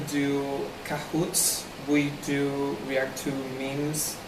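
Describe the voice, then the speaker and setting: A man at a very slow pace with monotone, flat intonation, audible room echo and noticeable background noise. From Argentina. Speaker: language club organizer. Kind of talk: casual monologue to camera. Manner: hesitant, many fillers.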